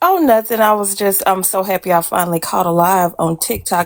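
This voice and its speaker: Over music in the background, a woman with an East Texas accent talks at a medium pitch with fairly even intonation, the sound dry and close with no echo. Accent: Southern US (East Texas). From East Texas, near the Louisiana border. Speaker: caller. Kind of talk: casual chat.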